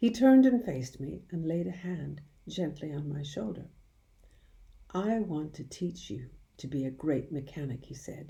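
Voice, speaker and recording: Very deep and low in pitch, a woman speaks in a dark, mellow, warm tone that is somewhat breathy, with very wide pitch swings and big swings in loudness. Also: moderate pace. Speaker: audiobook reader. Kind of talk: children's audiobook narration. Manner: warm, expressive storytelling.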